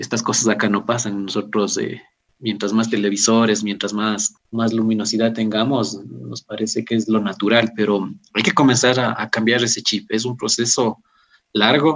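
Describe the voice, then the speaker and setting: A man with a fairly low pitch and an ordinary speaking voice keeps a moderate pace and fairly even intonation. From Ecuador. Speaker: agricultural engineer. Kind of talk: interview. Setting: remote connection. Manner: formal.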